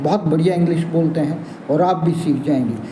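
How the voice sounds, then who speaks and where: Noticeable background noise and audible room echo surround a man who speaks at a moderate pace with a fairly high pitch. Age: 70s. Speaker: English teacher. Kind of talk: channel introduction talk to viewers.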